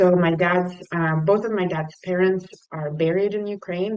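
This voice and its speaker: With a Russian accent, a woman speaks in a fairly low pitch and fairly even intonation. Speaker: nonprofit leader. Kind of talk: talk to a service club. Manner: halting.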